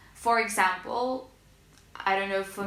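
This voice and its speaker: With a Russian accent, a woman speaks fairly slowly at medium pitch with fairly even intonation, amid audible room echo and noticeable background noise. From Russia, small city near Moscow. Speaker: language learning vlogger. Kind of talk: casual tutorial vlog. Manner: hesitant with fillers.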